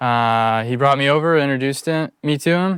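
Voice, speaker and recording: The recording is very clean, with a silent background. A man with an American accent speaks at a fairly quick pace. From Colorado, US. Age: 20s. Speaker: bonsai apprentice. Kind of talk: interview testimony. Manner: hesitant, many fillers.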